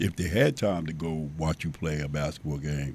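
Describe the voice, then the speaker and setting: A man with a very deep, low pitch and a dark, mellow tone speaks at a fairly quick pace with fairly even intonation. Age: 60s. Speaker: basketball coach. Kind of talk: casual chat.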